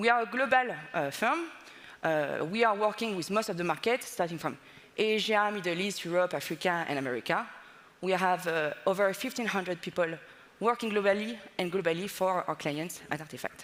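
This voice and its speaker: This woman has a medium pitch. Her intonation is lively. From France. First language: French. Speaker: data consultancy partner. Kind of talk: conference presentation. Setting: stage with audience.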